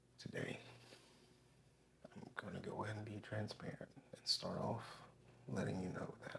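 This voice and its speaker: Vocal fry in a man's fairly low voice, at a moderate pace with long, frequent pauses. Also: ordinary pitch variation. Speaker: ASMR creator. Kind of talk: ASMR relaxation talk to camera.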